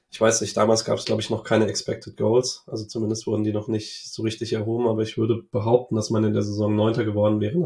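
This voice is somewhat breathy, with a dark, mellow tone and monotone, flat intonation. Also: man. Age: 20s. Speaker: football fan podcaster. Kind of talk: casual interview chat.

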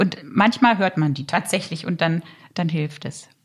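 A woman's somewhat breathy voice at a medium pitch, with ordinary pitch variation and a moderate pace. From Germany, Lower Saxony (Harz). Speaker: opera singer. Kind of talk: casual chat.

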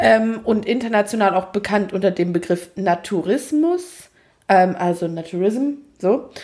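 A woman speaks at medium pitch and a fairly slow pace, her tone dark and mellow. Her pitch varies in an ordinary way and her loudness stays very even. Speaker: podcast co-host. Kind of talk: casual chat. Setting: home recording, echoey room.

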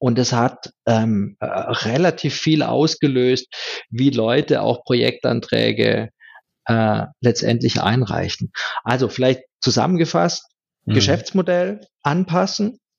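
With vocal fry and very even loudness, a man speaks very slowly at a medium pitch, his intonation lively. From rural Germany. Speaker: IT strategist. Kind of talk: interview. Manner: repeats words often.

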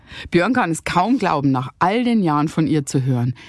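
Recorded very cleanly against a silent background, a woman's fairly low voice makes very wide pitch swings in a dry, close sound with no echo. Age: 50s. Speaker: true crime podcast host. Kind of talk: scripted narration; casual chat.

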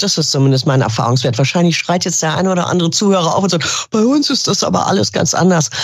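Delivered at a very fast pace with hardly any pauses, the voice swings very widely in pitch yet keeps a very even loudness, with noticeable background noise behind it. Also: woman. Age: 50s. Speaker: business coach and former property manager. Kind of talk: interview conversation.

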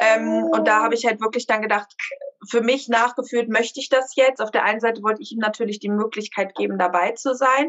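A woman speaks at a fairly quick pace in a plain, everyday voice. Her pitch is fairly high and her intonation fairly even. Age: 30s. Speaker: mother sharing birth story. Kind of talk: interview testimony.

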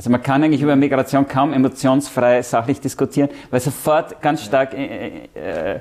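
In a plain, everyday voice, a man holds a medium pitch and a moderate pace. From Austria, Vienna. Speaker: EU civil servant. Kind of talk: interview.

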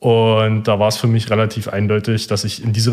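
A man with a normal speaking voice talks at a medium pitch and a moderate pace. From eastern Germany, near Cottbus. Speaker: engineering student. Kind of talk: interview.

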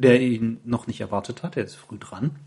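A man at a very slow pace. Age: 30s. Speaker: podcast host. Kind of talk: casual chat. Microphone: laptop recording.

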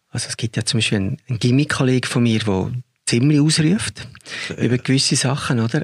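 A man talks at a very fast pace in a medium pitch. His voice is somewhat breathy, with ordinary pitch variation. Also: dry, close sound with no echo. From Zurich, Switzerland. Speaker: film director. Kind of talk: interview conversation.

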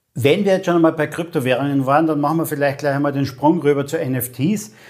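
With fairly even intonation and a fairly high pitch, a man talks in an ordinary speaking voice. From Austria, Carinthia (Lavant valley). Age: 50s. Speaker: podcast host, storytelling expert. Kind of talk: interview.

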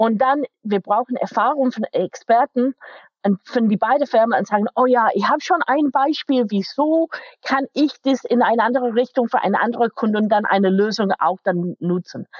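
A woman with an English accent, high in pitch with ordinary variation, at a moderate pace. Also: very even loudness. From England, Manchester. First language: English (speaking German). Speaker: IT company manager. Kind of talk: interview. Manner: halting, non-native German.

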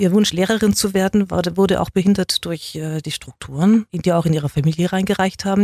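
Somewhat breathy speech at a moderate pace with ordinary pitch variation, dry and close with no echo, in a very clean recording with a silent background. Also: woman. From Swabia, Germany (Neu-Ulm), raised speaking standard German at home. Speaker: journalist and magazine publisher. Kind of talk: interview.

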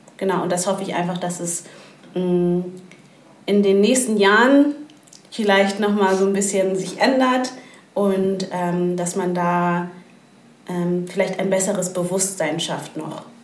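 Amid noticeable background noise and audible room echo, a woman at a medium pitch speaks at a fairly slow pace with fairly even intonation and long, frequent pauses. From Hamburg. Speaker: network co-founder and entrepreneur. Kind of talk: podcast interview.

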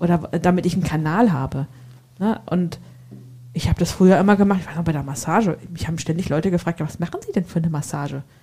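A woman with a Hessian accent talks at a very fast pace, broken by long, frequent pauses. Her pitch is fairly low with ordinary variation, over noticeable background noise. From Hesse, Germany. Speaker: entrepreneur and massage therapist. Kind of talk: casual chat.

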